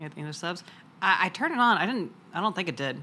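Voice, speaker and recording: A woman's bright, sharp tone with very wide pitch swings at a fairly quick pace. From US South, Florida. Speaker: vtuber streamer. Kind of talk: casual chat. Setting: live stream.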